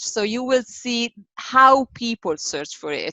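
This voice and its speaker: A woman with a strong Italian accent speaks at a very slow pace. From Italy. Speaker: SEO agency director. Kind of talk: interview. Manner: hesitant with many fillers.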